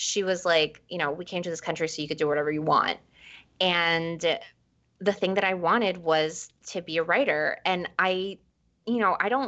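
A woman speaks in a New York accent at a moderate pace. Her pitch is fairly low, with ordinary variation. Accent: New York American English. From New York, raised from age five (born in Ecuador). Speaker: author. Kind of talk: interview conversation.

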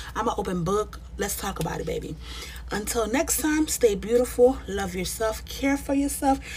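Noticeable background noise is present here. A woman speaks at a moderate pace. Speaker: podcast host. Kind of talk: casual monologue.

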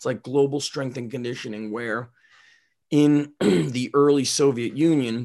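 This man has a plain, everyday voice and an American accent. He speaks at a fairly slow pace with medium pitch and fairly even intonation. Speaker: strength coach, podcast host. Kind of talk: casual chat. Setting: remote recording.

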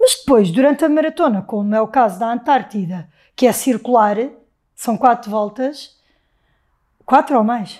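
This woman has a high pitch and lively intonation at a moderate pace. The recording is very clean, with a silent background. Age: 40s. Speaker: marathon runner and flight attendant. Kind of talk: casual interview conversation.

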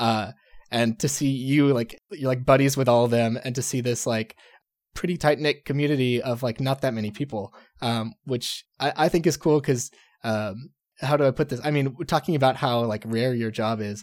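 In a very clean recording with a silent background, a man with an American accent and an unremarkable speaking voice talks at a moderate pace with a medium pitch and ordinary pitch variation. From Texas. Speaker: podcast host. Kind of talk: casual chat.

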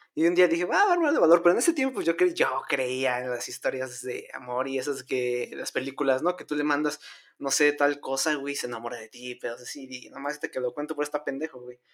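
A man has an unremarkable speaking voice, pitched fairly high, with ordinary pitch variation. He talks at a fairly quick pace with hardly any pauses. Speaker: podcast co-host. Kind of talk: casual chat.

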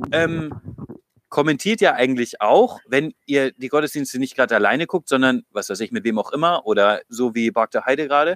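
The speaker talks at a moderate pace with lively intonation. The sound is dry and close, with no echo. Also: man. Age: 30s. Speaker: church youth leader. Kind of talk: casual chat. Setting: outdoors, in a garden.

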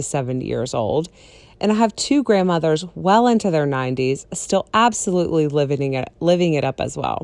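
An animated woman with a very deep, low pitch, lively intonation and a moderate pace, over a quiet background. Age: 40s. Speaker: life coach podcast host. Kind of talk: motivational monologue.

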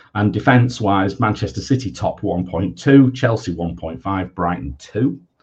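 A man speaks at a very slow pace with hardly any pauses, his somewhat breathy voice fairly low in pitch with lively intonation. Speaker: fantasy football podcast host. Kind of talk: casual chat.

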